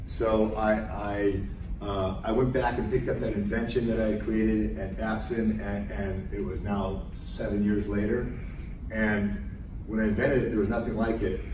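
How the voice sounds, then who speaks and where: A man talks at a moderate pace over noticeable background noise, with audible echo in the room. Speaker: guest. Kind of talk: lecture. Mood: storytelling, reflective. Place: classroom. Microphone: camera far.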